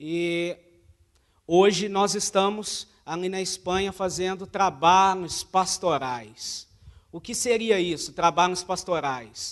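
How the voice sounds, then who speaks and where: Speaking at a very slow pace in a Minas Gerais accent, a man with a high pitch shows big swings in loudness and ordinary pitch variation. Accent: Brazilian Portuguese, mineiro. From Brazil, Minas Gerais (Uberlândia). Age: 20s. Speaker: missionary. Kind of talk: church talk, mission report. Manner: hesitant, many fillers.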